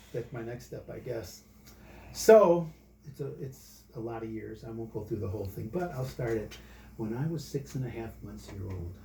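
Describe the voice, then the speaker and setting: Medium-pitched male voice with vocal fry and lively intonation at a moderate pace, with audible room echo. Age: 60s. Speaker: church member giving faith testimony. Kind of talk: testimony. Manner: casual, conversational.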